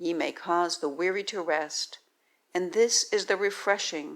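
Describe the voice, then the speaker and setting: A woman speaks at a fairly slow pace in a fairly low pitch. She has an ordinary speaking voice, and her intonation stays fairly even. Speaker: Bible reader. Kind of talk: scripture reading.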